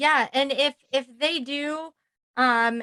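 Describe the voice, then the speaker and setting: A loud woman's voice, bright and sharp in tone, with fairly even intonation and a dry, close sound free of echo. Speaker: podcast host. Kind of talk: casual interview chat.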